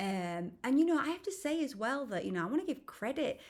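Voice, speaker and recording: Someone speaks at a moderate pace in a West Yorkshire accent, with very wide pitch swings. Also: woman. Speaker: spiritual healer and hypnotherapist. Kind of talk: casual vlog monologue. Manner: hesitant, many fillers.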